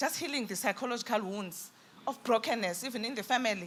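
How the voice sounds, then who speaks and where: A woman with a fairly high pitch and lively intonation at a fairly quick pace, with noticeable background noise. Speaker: businesswoman panelist. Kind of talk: panel discussion.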